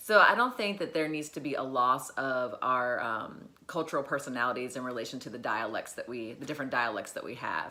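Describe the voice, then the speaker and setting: Very deep, low-pitched woman with an American accent, talking fairly quickly with hardly any pauses. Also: ordinary pitch variation. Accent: Southern twang, comes out when relaxed. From US South. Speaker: educator / motivational vlogger. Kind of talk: motivational talk. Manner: halting, many fillers.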